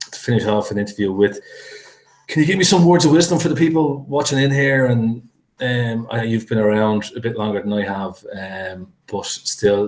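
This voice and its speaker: With a strong Irish accent, a man speaks at medium pitch and a moderate pace, his intonation lively. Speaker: interview host and product reviewer. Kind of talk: interview.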